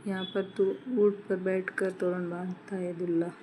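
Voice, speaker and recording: A woman's medium-pitched, dark, mellow voice in a flat monotone at a very slow pace. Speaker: vlogger. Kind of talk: vlog narration.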